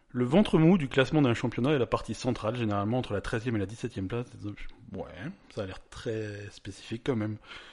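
With a plain, everyday voice, a man talks at a fairly quick pace and medium pitch with ordinary pitch variation against a quiet background. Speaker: podcast host. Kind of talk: casual chat. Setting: studio.

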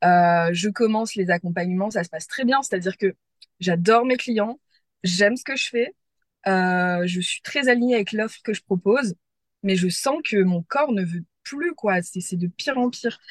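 Lively intonation at a fairly slow pace, in a dry, close sound with no echo and a quiet background. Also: woman, medium pitch for a woman. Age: 30s. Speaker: former online trainer. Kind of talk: personal testimony in interview. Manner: hesitant, many fillers and repetitions.

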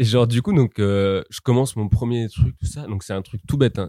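A man at a very fast pace, with a dark, mellow tone, ordinary pitch variation and a dry, close sound with no echo. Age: 20s. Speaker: art student. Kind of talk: casual chat.

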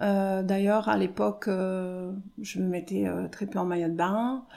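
A woman talks at a fairly slow pace and medium pitch. Her tone is dark and mellow. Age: 50s. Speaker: hairdresser. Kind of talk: testimony. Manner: halting.

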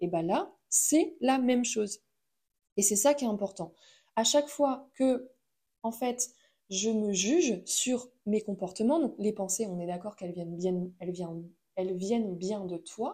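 A woman talks at a fairly slow pace in a dark, mellow tone, her pitch fairly high and her intonation lively. Her voice is somewhat breathy, with long, frequent pauses. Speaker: podcast host. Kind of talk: solo monologue podcast. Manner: hesitant with many fillers. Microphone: new microphone.

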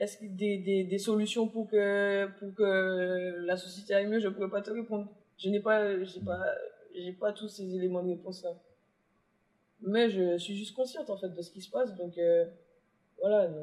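Long pauses come often, interrupting talk delivered at a moderate speed. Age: 20s. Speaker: rapper. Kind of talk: interview. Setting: bookstore cultural space. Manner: halting.

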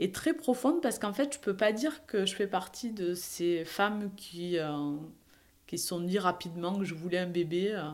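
A woman's medium-pitched voice in a southern French accent, fairly slow yet with hardly any pauses, and lively intonation. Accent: Perpignan. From southern France, Perpignan. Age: 40s. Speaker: professional coach sharing her fertility story. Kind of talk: personal testimony. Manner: hesitant, many fillers and repetitions.

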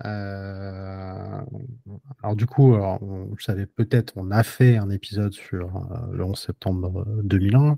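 Recorded very clean with a silent background and a dry, close sound with no echo, the dark, mellow voice moves at a very slow pace with long, frequent pauses, fairly even intonation and big swings in loudness. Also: man. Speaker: podcast host. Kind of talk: casual chat. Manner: hesitant, many fillers.

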